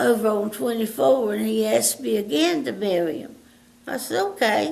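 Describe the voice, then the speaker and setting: The speaker has an eastern North Carolina accent and a fairly slow pace. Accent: Southern US (eastern North Carolina). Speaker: elderly local resident telling life stories. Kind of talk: oral history interview. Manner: halting.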